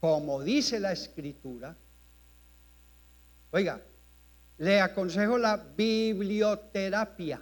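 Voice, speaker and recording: Very slowly and with lively intonation, a man speaks in a high pitch. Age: 70s. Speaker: pastor. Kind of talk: sermon. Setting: church.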